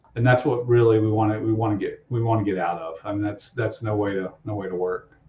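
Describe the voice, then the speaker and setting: The voice is somewhat breathy, with an American accent. It moves at a very fast pace with fairly even intonation. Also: man, fairly low pitch for a man. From US South, Alabama. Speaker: process engineering consultant. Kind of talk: podcast interview.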